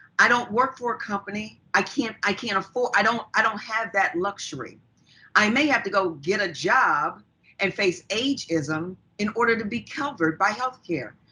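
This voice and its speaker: A woman with a normal speaking voice, fairly high pitch, lively intonation and a moderate pace. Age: 60s. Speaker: public commenter. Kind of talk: public testimony. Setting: video call.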